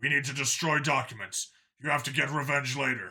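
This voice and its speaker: A man puts on a character voice that is raspy and fairly high-pitched, delivered at a fairly quick pace in a monotone, flat intonation. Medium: read story.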